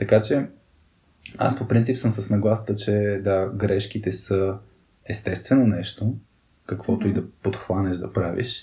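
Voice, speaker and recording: A man speaks at a fairly slow pace and a fairly low pitch, in a dark, mellow tone that is somewhat breathy, with fairly even intonation. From Bulgaria, Burgas. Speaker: podcast co-host. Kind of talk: casual chat.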